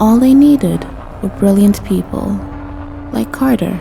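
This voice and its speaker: A woman talks at a fairly slow pace. Background music can be heard. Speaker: voice actor. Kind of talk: immersive horror game lore narration.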